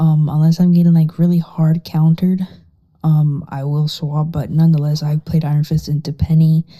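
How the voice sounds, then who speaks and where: The setting is quiet. The speech moves at a moderate pace. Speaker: gaming guide creator. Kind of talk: tutorial. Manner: casual, filler-heavy.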